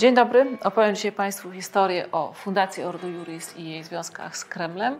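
With noticeable background noise behind her, a woman speaks with hardly any pauses and big swings in loudness. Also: medium pitch for a woman, ordinary pitch variation, moderate pace. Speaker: activist moderating a press conference. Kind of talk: press conference. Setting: press conference at organisation headquarters.

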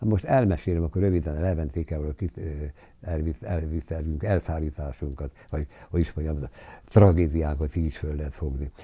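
A man speaks in a very deep, low voice with a dark, mellow, somewhat breathy tone. His pace is fairly quick, pitch variation is ordinary, and the background is quiet. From southern Slovakia, Hungarian minority. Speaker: war eyewitness; witness. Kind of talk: interview testimony. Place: home room. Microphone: lapel.

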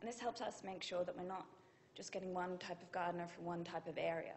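There is light background noise as a woman talks. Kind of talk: conference talk. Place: hall.

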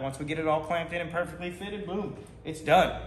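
Speaking at a high pitch and a moderate pace, a man is heard with audible room echo and light background noise. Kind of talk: casual vlog chat. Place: garage. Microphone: camera far.

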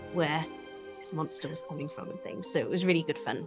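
A woman with a Welsh accent, fairly low in pitch with ordinary pitch variation, over clear background music. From Wales. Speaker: actress. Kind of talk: interview answer. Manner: casual, chatty. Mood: warm, amused. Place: studio.

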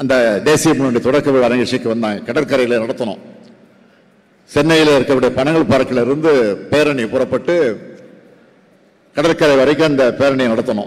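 Over a quiet background, a man speaks at a medium pitch. His intonation is fairly even. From Tamil Nadu. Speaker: politician. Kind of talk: political speech. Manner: humorous storytelling. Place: hall. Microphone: podium.

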